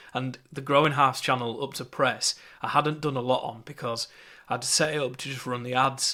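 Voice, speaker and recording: In a Yorkshire accent, a man with a medium pitch and bright, sharp tone speaks in a monotone, flat way on a very clean recording with a silent background. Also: moderate pace. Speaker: marketing course teacher. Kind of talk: lecture. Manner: casual, with fillers and repetitions.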